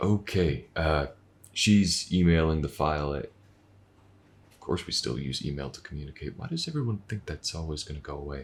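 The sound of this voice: Putting on a character voice, a man speaks at a moderate pace in an extremely low pitch, with lively intonation and a slightly husky edge.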